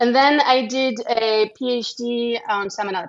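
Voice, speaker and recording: Speaking in a French accent, a woman holds a fairly high pitch. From France. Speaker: microbiology researcher and lab head. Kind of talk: interview conversation.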